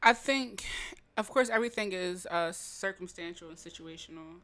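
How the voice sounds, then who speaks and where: At a moderate pace and with ordinary pitch variation, a woman talks in an unremarkable speaking voice. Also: very clean recording, silent background. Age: 20s. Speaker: podcast co-host. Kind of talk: casual chat. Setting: same room as co-host.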